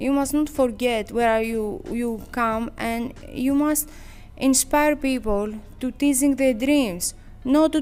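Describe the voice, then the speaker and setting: A woman with a Greek accent at a high pitch and a very slow pace, with ordinary pitch variation and music in the background. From Greece, Sparta. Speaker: professional boxer. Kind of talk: interview. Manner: halting.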